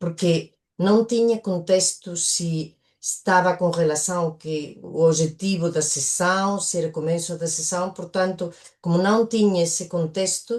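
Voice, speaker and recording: Fairly slow delivery with fairly even intonation. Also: woman, fairly low pitch for a woman. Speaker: coach, workshop participant. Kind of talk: workshop discussion. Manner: hesitant.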